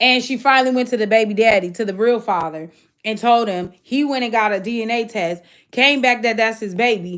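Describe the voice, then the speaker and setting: The recording is very clean, with a silent background. A woman speaks at a moderate pace in an animated tone. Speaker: livestream host. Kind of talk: casual livestream rant.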